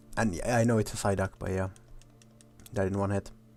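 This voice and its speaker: Against music in the background, a man speaks at a fairly quick pace with a monotone, flat intonation. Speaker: gaming streamer. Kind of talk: solo gameplay commentary. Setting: alone recording gameplay. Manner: not loud; casual, halting with repetitions.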